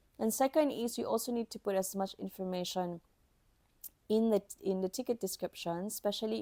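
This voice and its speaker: A woman with a non-native accent speaks at medium pitch and a moderate pace, with a dark, mellow tone and ordinary pitch variation. The recording is very clean, silent behind her, and dry and close with no echo. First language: not English. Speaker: podcast host, IT helpdesk professional. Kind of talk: instructional podcast monologue. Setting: recording at a microphone.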